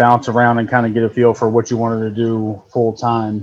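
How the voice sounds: A man with an American accent, a medium pitch, little pitch movement and a slightly mellow tone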